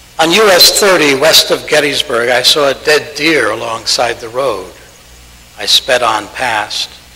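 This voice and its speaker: A man with an American accent speaks at a fairly high pitch over noticeable background noise. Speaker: Unitarian Universalist minister. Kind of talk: reading of a written piece aloud in a service.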